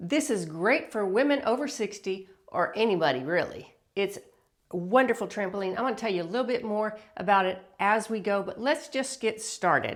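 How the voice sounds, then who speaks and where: A woman with a normal speaking voice talks at a moderate pace in a fairly high pitch, her intonation lively. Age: 60s. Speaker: fitness instructor. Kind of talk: workout instruction to camera. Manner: upbeat, encouraging.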